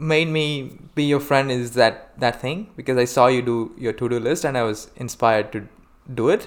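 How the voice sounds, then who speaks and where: At a moderate pace, a man talks with an Indian accent. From India, Hyderabad. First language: Telugu. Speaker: podcast guest. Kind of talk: casual chat.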